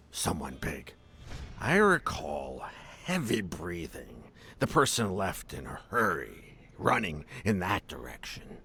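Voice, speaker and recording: Using a put-on character voice, a man speaks at a fairly slow pace in a very deep, low pitch. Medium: video game. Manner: wry, sardonic.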